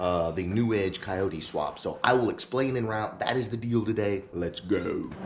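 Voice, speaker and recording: A quiet man's voice at a fairly low pitch, moderate pace and ordinary pitch variation, hardly any pauses, with audible room echo and noticeable background noise. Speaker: car YouTuber. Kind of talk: casual vlog to camera. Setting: home garage. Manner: quiet, keeping voice down.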